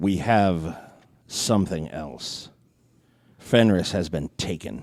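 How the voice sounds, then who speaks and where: A booming, very deep, low-pitched put-on character voice from a man, at a very slow pace. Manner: commanding.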